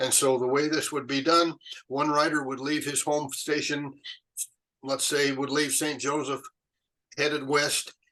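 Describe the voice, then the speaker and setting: This man speaks at a moderate pace in a fairly high, bright and sharp voice with flat, monotone intonation. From Utah, USA. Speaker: retired chemist and Pony Express historian. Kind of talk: interview answer. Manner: hesitant, conversational.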